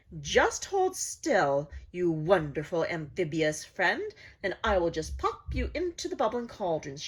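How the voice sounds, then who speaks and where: Putting on a cackling character voice, a woman speaks fairly slowly at a fairly low pitch. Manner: gleeful, cackling.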